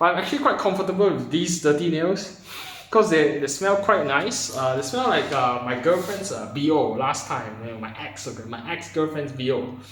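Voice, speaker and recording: In a Malaysian accent, a man with a fairly high pitch speaks at a moderate pace with lively intonation, amid audible room echo and noticeable background noise. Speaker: vlogger. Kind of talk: casual monologue to camera. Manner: hesitant, many fillers and repetitions.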